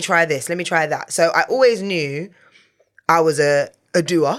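The tone is animated, with ordinary pitch variation. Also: woman. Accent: London. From England. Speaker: TV and radio presenter. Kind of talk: casual interview.

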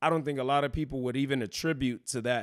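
A man with an American accent and a normal speaking voice, fairly high pitch and ordinary pitch variation, on a very clean recording with a silent background. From Texas, Houston. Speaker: boxing gym owner and boxer. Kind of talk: casual interview.

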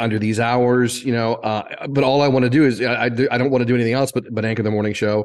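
A man with an American accent speaks at a very fast pace. His medium pitch stays in a monotone, flat intonation. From central Indiana, US Midwest. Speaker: former TV news anchor and reporter. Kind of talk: casual interview.

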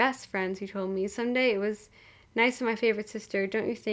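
This is plain reading aloud. Nothing more is done with the voice.

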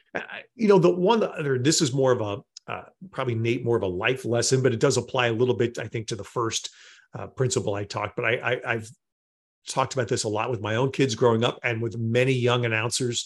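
A man with an American accent at a medium pitch, talking very fast, somewhat breathy, with ordinary pitch variation over a quiet background. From New York area. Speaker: sports play-by-play announcer. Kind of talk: interview.

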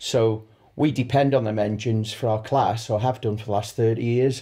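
A man speaks at a medium pitch and moderate pace, his tone dark, mellow and somewhat breathy. The recording is very clean, with a silent background. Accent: Manx. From Isle of Man. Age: 50s. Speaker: sidecar racer. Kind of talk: interview.

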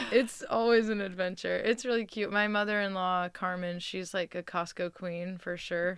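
In an ordinary speaking voice, a woman talks at a moderate pace and medium pitch with fairly even intonation and hardly any pauses, on a very clean recording with a silent background. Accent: American. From California, San Francisco Bay Area suburbs. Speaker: singer-songwriter. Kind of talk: casual interview chat. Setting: radio studio.

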